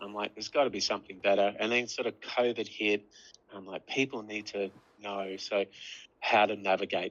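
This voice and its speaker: A man with an Australian accent talks at a fairly quick pace with a fairly low pitch. His intonation is fairly even, while his loudness swings a lot. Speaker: app developer. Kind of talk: casual chat.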